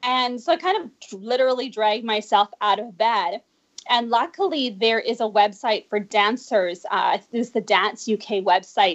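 This woman has a normal speaking voice. She uses ordinary pitch variation at a fairly slow pace. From Canada, Vancouver. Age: 40s. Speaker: dancer and life coach. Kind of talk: interview.

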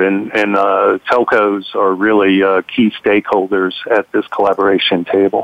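A normal speaking voice moves along at a moderate pace. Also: man. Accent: American. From New York City. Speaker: telecom industry executive. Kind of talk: panel discussion.

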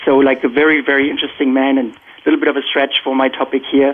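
Words come at a very fast pace in a monotone, flat intonation. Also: man. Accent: German. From Germany. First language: German. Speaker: tech industry professional. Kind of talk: panel discussion.

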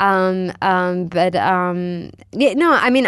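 A woman with an American accent. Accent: American-sounding English. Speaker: corporate social responsibility consultant. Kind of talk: interview. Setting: studio. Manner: halting, many fillers.

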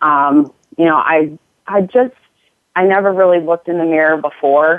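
At a moderate pace, a woman speaks in an ordinary speaking voice with a fairly low pitch and ordinary pitch variation. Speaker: nurse and fitness coach. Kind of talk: casual interview chat.

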